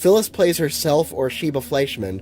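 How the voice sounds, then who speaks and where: A man with lively intonation at a moderate pace, music in the background. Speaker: movie reviewer. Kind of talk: video essay narration.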